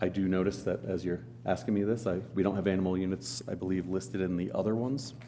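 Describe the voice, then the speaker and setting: With a very deep, low pitch and lively intonation, a man speaks at very even loudness. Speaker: county planning staff member. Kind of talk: public meeting presentation. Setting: county commissioners meeting room.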